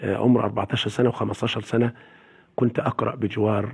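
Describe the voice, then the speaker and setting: This man's voice is somewhat breathy, keeping a moderate pace and fairly even intonation. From Egypt, Sharqia (Zagazig area). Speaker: Quran reciter. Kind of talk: interview.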